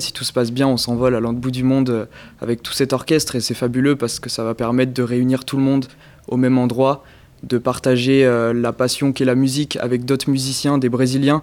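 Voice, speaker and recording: The pace is moderate. This man's intonation stays monotone and flat. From Périgueux, Dordogne, France. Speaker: youth orchestra member and treasurer. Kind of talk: interview.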